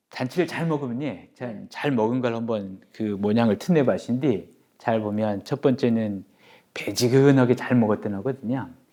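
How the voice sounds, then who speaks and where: With a Jeju accent, a man speaks at medium pitch and a fairly slow pace. His tone is dark and mellow, and the background is quiet. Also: ordinary pitch variation. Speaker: dialect preservation society chairman. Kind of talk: interview answer.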